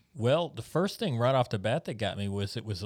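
A man with an American accent speaks at a medium pitch with lively intonation, in a very clean recording against a silent background. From United States. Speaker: missionary pastor. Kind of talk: casual chat. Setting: studio.

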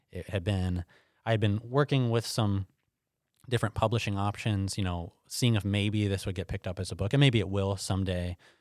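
A man with an ordinary speaking voice talks fairly low and at a fairly quick pace with fairly even intonation, in a very clean recording with a silent background. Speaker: pastor and Bible teacher. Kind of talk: interview conversation.

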